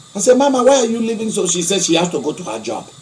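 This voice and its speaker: With an African accent, a man speaks in an animated tone with lively intonation, amid audible room echo and noticeable background noise. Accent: African-sounding. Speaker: preacher, archbishop of own church. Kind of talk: broadcast sermon-style monologue. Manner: animated, heated.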